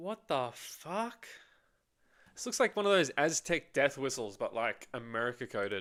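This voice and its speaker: In an Australian accent, a man speaks at a fairly high pitch and a moderate pace with very wide pitch swings. The recording is very clean, with a silent background. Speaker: streamer. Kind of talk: casual chat.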